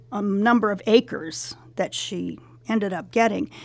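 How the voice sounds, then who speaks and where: A woman speaks fairly slowly with a Californian accent and a fairly high pitch. Her voice shows vocal fry and ordinary pitch variation. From Los Angeles, San Fernando Valley. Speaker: school alumna, retiree. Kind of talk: interview.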